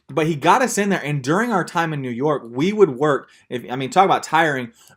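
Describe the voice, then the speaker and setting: With a Texan accent, a man talks at a moderate pace in a fairly high pitch, his intonation lively. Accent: Texan American. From Texas. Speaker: missionary teacher. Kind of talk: lecture. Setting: video call. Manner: casual storytelling.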